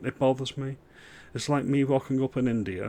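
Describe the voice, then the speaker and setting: A man speaks with a northern English accent. His pace is moderate. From northern England. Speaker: political commentary youtuber. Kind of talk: reaction commentary. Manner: animated.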